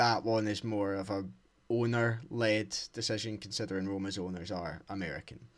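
A man with an unremarkable speaking voice, pitched fairly low, with fairly even intonation. The recording is very clean, with a silent background. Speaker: podcast co-host. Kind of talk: casual football chat. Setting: dark room, lo-fi home microphone.

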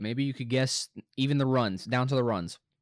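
Captured in a very clean recording with a silent background, a man with an American accent speaks at a moderate pace and a fairly high pitch. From Arkansas, US South. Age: 20s. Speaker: college student sports podcast host. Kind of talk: solo casual sports commentary. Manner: halting, many fillers and repeats.

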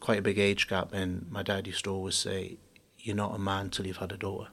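A man speaks with a Geordie accent at a fairly low pitch. His intonation stays flat and monotone. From Newcastle, northeast England. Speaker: business executive. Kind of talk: interview.

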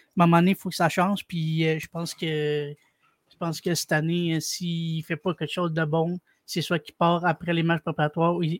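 In a Quebec accent, a man with a high pitch speaks at a moderate pace in a monotone, flat intonation, the sound dry and close with no echo on a very clean recording with a silent background. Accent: Québécois French. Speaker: caller, hockey fan. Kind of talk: casual chat. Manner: halting.

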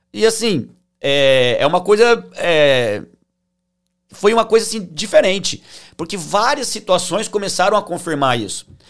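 An interior São Paulo accent with lively intonation, a fairly slow pace and long, frequent pauses. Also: man, high pitch for a man. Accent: interior São Paulo (caipira). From interior of São Paulo state, Brazil (Tupã). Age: 30s. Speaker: financial consultant. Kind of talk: interview, personal life story.

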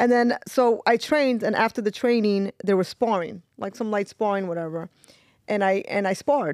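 A woman with a New York accent, fairly high pitch, ordinary pitch variation and a moderate pace. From New York, Brooklyn (East New York). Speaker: pro fighter. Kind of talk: casual chat.

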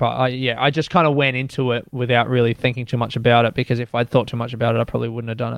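Against a quiet background, a man with an Australian accent talks at a very fast pace with hardly any pauses, in a monotone, flat intonation at a medium pitch. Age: 30s. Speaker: stand-up comedian. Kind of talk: casual interview with storytelling.

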